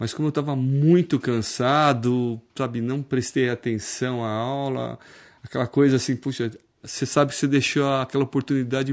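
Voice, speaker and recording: A man speaks in a monotone, flat intonation at a moderate pace against a quiet background. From Brazil, São Paulo (Osasco). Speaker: public prosecutor. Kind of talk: casual interview chat. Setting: office set up as studio.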